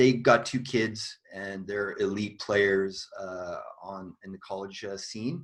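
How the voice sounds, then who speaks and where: Against a quiet background, a man with a Canadian accent and a plain, everyday voice speaks fairly slowly in a fairly low pitch with fairly even intonation. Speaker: tennis coach and co-host. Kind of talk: casual chat.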